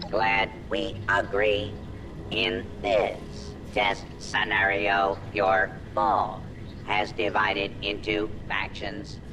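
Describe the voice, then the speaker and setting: Over loud background noise, a man uses a put-on character voice, fairly low in pitch and very slow in pace. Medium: video game. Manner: formal, stiff, condescending.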